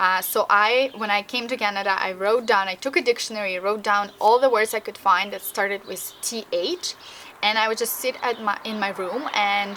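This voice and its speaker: A woman with a slight Russian accent, fairly high pitch and moderate pace, amid noticeable background noise. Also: ordinary pitch variation. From Russian-speaking country. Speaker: language learning vlogger. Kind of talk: vlog tutorial. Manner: casual with frequent fillers.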